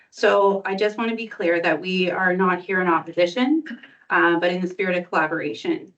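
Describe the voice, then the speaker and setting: Fairly quick delivery with a Canadian accent and ordinary pitch variation. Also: woman, medium pitch for a woman. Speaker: community recreation committee director. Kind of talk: public delegation presentation. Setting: council chamber meeting, live streamed. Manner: clear and firm.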